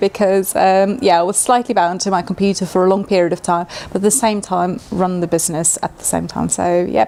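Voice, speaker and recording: A woman's fairly quick, fairly evenly intoned speech comes with noticeable background noise behind it. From South Africa. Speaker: chef and cookbook author. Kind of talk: interview. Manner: hesitant fillers.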